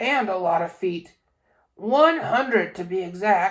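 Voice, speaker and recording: Using a put-on character voice, a woman sounds raspy at a medium pitch. She speaks at a fairly slow pace. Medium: read story. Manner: boastful.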